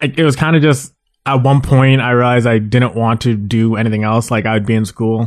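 Here is a plain, everyday voice with a Canadian accent. It moves at a fairly quick pace with fairly even intonation. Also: man, medium pitch for a man. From Mississauga, Ontario, Canada. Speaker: comic artist, leader of an art collective. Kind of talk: casual interview.

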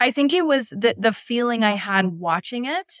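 Lively intonation marks this Canadian-accented voice, heard in a dry, close sound with no echo. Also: woman. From northern Ontario, Canada. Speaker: playwright. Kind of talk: interview.

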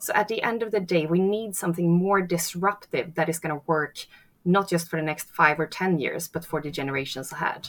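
A woman with a Swedish accent speaks fairly quickly at a fairly low pitch. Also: ordinary pitch variation. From Sweden. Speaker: architect and sustainability entrepreneur. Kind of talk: interview.

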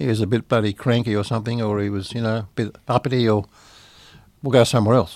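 A man with a medium pitch speaks at a very fast pace, keeping his intonation fairly even. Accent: Australian. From Sydney, Australia. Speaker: recording studio owner, blind musician. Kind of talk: interview. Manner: halting, many fillers.

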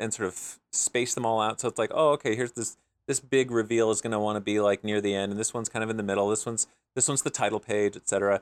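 With an American accent, a man with an unremarkable speaking voice and medium pitch talks at a fairly quick pace in a dry, close sound with no echo on a very clean recording with a silent background. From US Midwest. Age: 40s. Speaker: comic book writer and artist. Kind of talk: casual interview.

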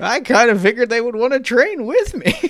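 Putting on a character voice, a man talks at an extremely high pitch with a fairly bright tone, big pitch swings and a fairly quick pace.

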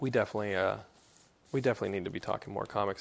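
This man has an American accent and ordinary pitch variation. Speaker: podcast host. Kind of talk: solo podcast monologue. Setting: home office recording setup. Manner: halting, many fillers.

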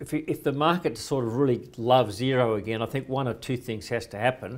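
On a very clean recording with a silent background, a man with an Australian accent and a medium pitch talks at a fairly quick pace with ordinary pitch variation. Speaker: financial commentator. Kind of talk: interview.

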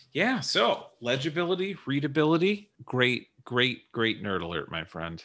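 A man speaks fairly slowly with hardly any pauses, at a medium pitch with very wide pitch swings, vocal fry and a bright, sharp tone. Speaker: podcast host. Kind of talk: casual chat.

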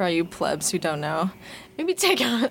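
Against noticeable background noise, a woman speaks at a medium pitch and a fairly slow pace. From Vancouver, Canada. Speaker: student newspaper arts editor, podcast host. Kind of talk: casual chat.

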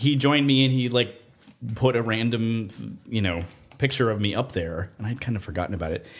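A man's medium-pitched, plain, everyday voice with an American accent, fairly quick pace and ordinary pitch variation. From Nevada, US. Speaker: composer. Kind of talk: interview.

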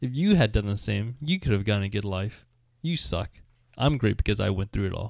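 At a fairly quick pace, a man with an ordinary speaking voice talks at a fairly low pitch, with ordinary pitch variation. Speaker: podcast co-host. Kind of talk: casual chat. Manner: playful, joking.

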